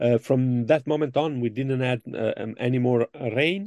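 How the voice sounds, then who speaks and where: A man at medium pitch with a strong Italian accent, fairly slow pace, dry close sound with no echo and a quiet background. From Italy. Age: middle-aged. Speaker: motocross journalist. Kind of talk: casual chat. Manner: animated.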